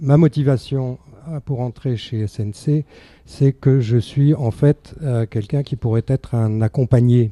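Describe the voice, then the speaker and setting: A man at medium pitch, very slow and fairly even in intonation, in a dry, close sound with no echo. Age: 70s. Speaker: charity volunteer. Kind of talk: radio interview.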